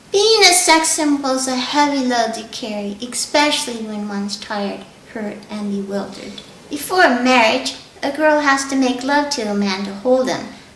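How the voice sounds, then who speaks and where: A woman at a fairly slow pace with ordinary pitch variation, noticeable background noise and audible room echo. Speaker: voiceover hopeful, documentary subject. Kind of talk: interview testimony.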